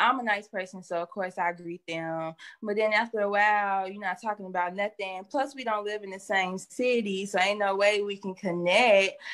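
This is an unremarkable speaking voice with fairly even intonation. It keeps a moderate pace with hardly any pauses. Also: woman, medium pitch for a woman. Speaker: online adult content creator. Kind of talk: interview.

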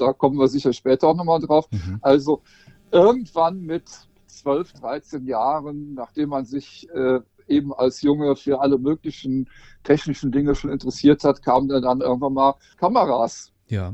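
A man speaks in a plain, everyday voice at a fairly high pitch. His pace is moderate and his pitch variation ordinary. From Rhineland, western Germany. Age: 50s. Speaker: portrait photographer. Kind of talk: casual interview.

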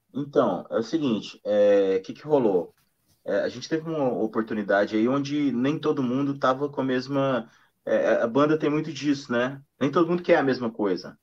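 This is an ordinary speaking voice, a man's, fairly high in pitch with ordinary pitch variation. He talks at a moderate pace against a quiet background. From Minas Gerais, Brazil. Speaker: singer-songwriter and guitarist. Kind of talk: casual interview chat. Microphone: weak connection.

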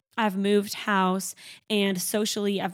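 The voice moves at a moderate pace with monotone, flat intonation. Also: woman.

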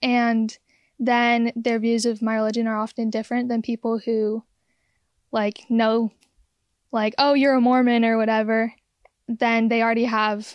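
This is a very clean recording with a silent background and a dry, close sound without echo. A woman speaks in a fairly high, monotone voice with flat intonation. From San Diego. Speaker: student organization member. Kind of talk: casual chat.

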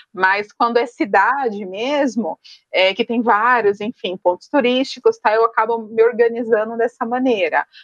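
Speaking at a fairly slow pace, a woman with a fairly high pitch and ordinary pitch variation has an ordinary speaking voice, recorded with a dry, close sound with no echo. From São Paulo, Brazil. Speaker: human resources professional, solo traveler. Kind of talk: podcast interview.

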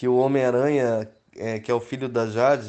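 The speaker is a man with a medium-pitched voice. He delivers everything in a monotone, flat intonation. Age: 30s. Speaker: wedding photographer. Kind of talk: interview.

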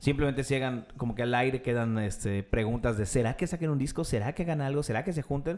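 At a very fast pace with hardly any pauses, a man speaks in a medium pitch with ordinary pitch variation. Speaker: podcast host. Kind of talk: casual chat.

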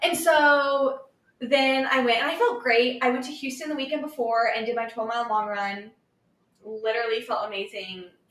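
A woman with an American accent speaks at a moderate pace in a high voice. Her tone is animated, and room echo is audible. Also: ordinary pitch variation. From Kansas City, US Midwest. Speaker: amateur runner. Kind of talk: casual chat.

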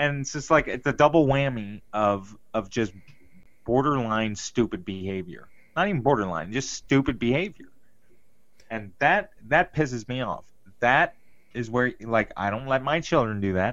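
Over a quiet background, a man at a medium pitch uses lively intonation and a moderate pace in a plain, everyday voice. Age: 30s. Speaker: podcast co-host. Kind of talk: casual chat.

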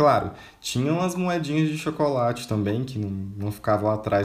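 Against noticeable background noise, a man with a medium pitch talks at a fairly quick pace with very wide pitch swings. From Minas Gerais interior, Brazil. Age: 20s. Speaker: podcaster. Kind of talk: personal monologue. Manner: casual, conversational.

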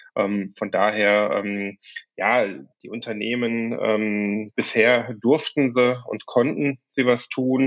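A man's medium-pitched voice moves very slowly, its intonation fairly even. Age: 50s. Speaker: management consultant, company founder. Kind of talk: interview conversation.

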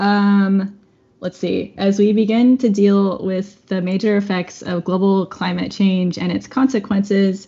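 A woman speaks at a fairly slow pace in a medium-pitched, somewhat breathy voice with monotone, flat intonation. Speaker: podcast host. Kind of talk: interview. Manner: hesitant, many fillers.

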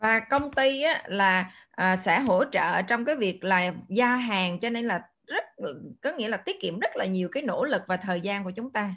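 In a plain, everyday voice, the speaker moves at a fairly slow pace with lively intonation. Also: woman, fairly high pitch for a woman. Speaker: event moderator and interpreter. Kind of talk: consecutive interpretation.

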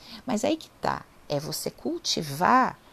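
With vocal fry in her voice, a woman lets her pitch swing very widely. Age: 40s. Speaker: online lecturer on psychology and spirituality. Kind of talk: informal lecture. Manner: conversational, with frequent fillers.

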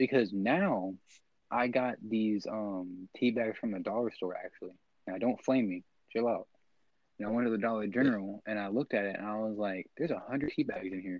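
At a fairly quick pace, a man talks in a fairly low pitch with ordinary pitch variation. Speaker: podcast co-host. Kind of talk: casual chat. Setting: home recording. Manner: quiet.

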